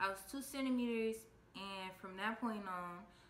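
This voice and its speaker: Audible room echo surrounds the recording. A woman speaks with ordinary pitch variation. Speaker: vlogger telling her birth story. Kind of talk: casual vlog chat. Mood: calm storytelling. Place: home room. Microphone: phone near.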